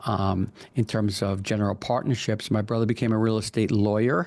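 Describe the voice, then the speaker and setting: This man has a New York accent and a fairly low pitch. His intonation is fairly even, and the background is quiet. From Long Island, New York. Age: 60s. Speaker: commercial real estate broker. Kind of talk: interview.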